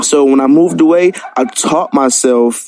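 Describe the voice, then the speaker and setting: In an American accent, a man with a fairly high pitch talks at a fairly slow pace over noticeable background noise. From US South, Columbus, Georgia. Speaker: caller. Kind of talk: casual chat. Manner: stutters; calm.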